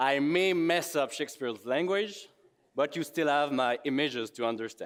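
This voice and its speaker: A man with a Quebec accent speaks at a moderate pace in a fairly high pitch, with ordinary pitch variation and very even loudness, on a very clean recording with a silent background. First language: French. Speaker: expedition photographer. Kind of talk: conference presentation.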